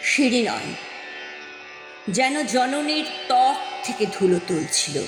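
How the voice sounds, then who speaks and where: Over music in the background, a woman talks in a high pitch with very wide pitch swings. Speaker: poetry reciter. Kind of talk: poetry reading. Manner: expressive, emotional.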